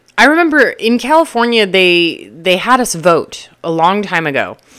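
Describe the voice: A woman puts on a character voice, hoarse and at medium pitch, with very wide pitch swings. She speaks at a moderate pace.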